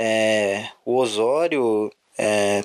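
This is a man speaking. His pitch is medium. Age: 20s. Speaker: football fan podcaster. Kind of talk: solo sports commentary podcast. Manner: casual, with hesitations.

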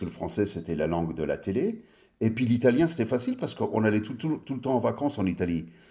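Very fast and full of very wide pitch swings, a man talks at medium pitch. His tone is dark and mellow. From France (western Paris suburbs), early childhood in US. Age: 50s. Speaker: designer. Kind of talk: casual chat.

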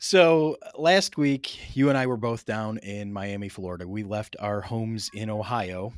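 A man with an ordinary speaking voice talks at a fairly slow pace and fairly low pitch, with ordinary pitch variation and big swings in loudness, on a very clean recording with a silent background. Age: 30s. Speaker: podcast host, educator. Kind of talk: casual interview.

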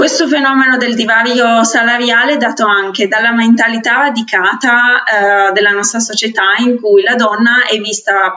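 An ordinary speaking voice at a fairly slow pace, with very even loudness and ordinary pitch variation. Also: woman. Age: 20s. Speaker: podcast co-host. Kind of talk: casual chat.

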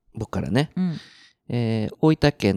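At a fairly slow pace and in a relaxed tone, the speaker is heard in a very clean recording with a silent background and a dry, close sound with no echo. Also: man. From Japan, central Tokyo. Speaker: podcast co-host, share house owner. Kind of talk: casual chat. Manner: frequent fillers, relaxed.

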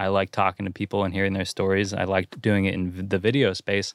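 Recorded very cleanly against a silent background, a man with a normal speaking voice and fairly low pitch talks at a moderate pace, the sound dry and close with no echo. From Santa Cruz area, California. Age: 20s. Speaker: podcast host. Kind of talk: casual chat. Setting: in a van.

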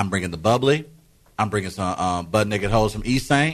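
With ordinary pitch variation, the man uses an ordinary speaking voice pitched fairly low. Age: 30s. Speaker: radio host. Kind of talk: morning radio banter. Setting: radio studio.

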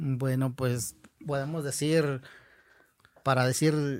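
This man's pitch sits fairly high. He speaks at a very slow pace with fairly even intonation. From Nayarit, Mexico (Huichol community). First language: Huichol (Wixárika) (speaking Spanish). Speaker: Huichol artist and teacher. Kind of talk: interview conversation.

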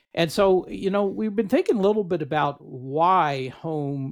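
Lively intonation runs through a plain, everyday voice. The pace is moderate. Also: man. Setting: video call with headset.

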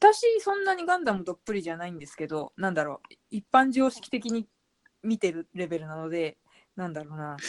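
A woman with a plain, everyday voice talks at a fairly quick pace in a medium pitch, with lively intonation, big swings in loudness, and a dry, close sound with no echo. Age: 30s. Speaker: blogger and author. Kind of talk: casual chat.

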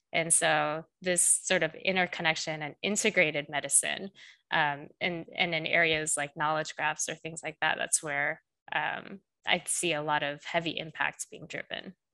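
A woman speaks in a very deep, low pitch with a bright, sharp tone. Her intonation is monotone and flat at a moderate pace, with a quiet background. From South Korea. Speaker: AI director and machine learning specialist. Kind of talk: interview. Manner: hesitant fillers.

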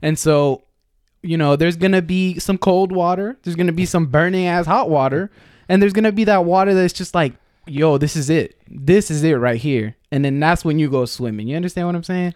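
A man speaks high-pitched at a fairly quick pace with ordinary pitch variation. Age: 20s. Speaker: podcast guest. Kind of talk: casual chat. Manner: calm.

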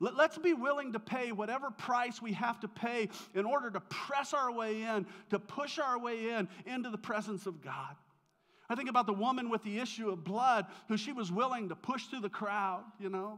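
In an American accent, a man speaks at an extremely high pitch with a bright, sharp tone and ordinary pitch variation. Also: moderate pace. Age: 50s. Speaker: pastor. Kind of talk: sermon. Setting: church.

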